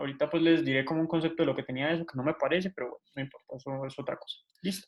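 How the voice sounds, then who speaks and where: A man speaks at a very fast pace in a fairly high pitch. His intonation stays fairly even. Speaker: medical student tutor. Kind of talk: lecture.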